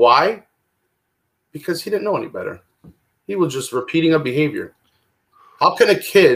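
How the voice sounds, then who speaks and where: Here a man talks at a moderate pace. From Toronto, Canada. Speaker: recovery speaker. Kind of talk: personal testimony. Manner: casual. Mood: emotional personal storytelling. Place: home room. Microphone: webcam.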